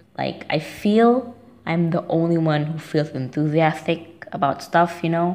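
The speech comes at a fairly slow pace in a non-native accent. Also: woman. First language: not English. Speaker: listener leaving a voicemail. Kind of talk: voicemail message. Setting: phone voicemail.

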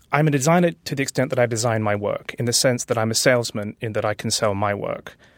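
A man with a British accent speaks at a very fast pace. His medium pitch has ordinary pitch variation. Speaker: author and designer. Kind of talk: interview.

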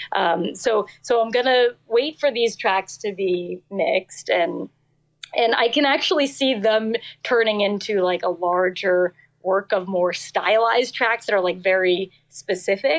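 A woman's normal speaking voice, medium in pitch with ordinary pitch variation, with an American accent, at a fairly slow pace and very even loudness. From New Jersey. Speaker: singer-songwriter. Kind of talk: casual interview chat.

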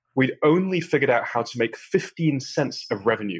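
Somewhat breathy and with lively intonation, a man talks at a fairly quick pace in a British accent. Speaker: startup founder. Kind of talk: interview conversation. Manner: calm; measured.

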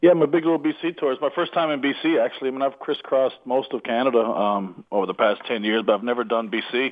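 Talking at a very fast pace, a man with a slight Newfoundland accent uses a medium pitch and ordinary pitch variation. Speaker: comedian. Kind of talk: casual chat. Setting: phone call.

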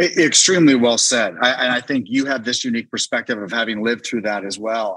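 This man has a plain, everyday voice with an American accent, medium pitch and fairly even intonation, moving at a fairly quick pace. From Northern Virginia. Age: 40s. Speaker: restaurant founder and entrepreneur. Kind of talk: interview conversation. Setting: video call. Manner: frequent repetitions and false starts.

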